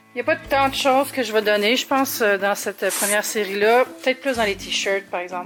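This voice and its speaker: A woman speaks in a Quebec accent at a fairly high pitch, her tone relaxed. Her pitch varies in an ordinary way, with music in the background. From Montreal, Quebec. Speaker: vlogger. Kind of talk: casual talk to camera, vlog. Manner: relaxed, conversational.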